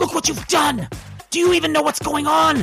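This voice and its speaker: A put-on character voice sits at a high pitch and moves at a moderate pace. Faint music plays in the background. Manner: hissing.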